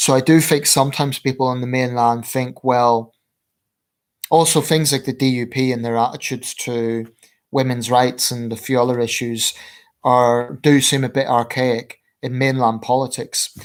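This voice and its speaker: In a Belfast accent, a man at a medium pitch talks with monotone, flat intonation on a very clean recording with a silent background. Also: moderate pace. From Northern Ireland, Belfast. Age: 30s. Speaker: political commentator, livestreamer. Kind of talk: livestream Q&A. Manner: hesitant, many fillers.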